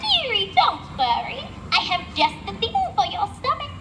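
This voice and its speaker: Using a put-on character voice, a woman speaks at a moderate pace in an extremely high, gruff voice, with clear background noise behind her. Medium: stage play. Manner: gruff then syrupy.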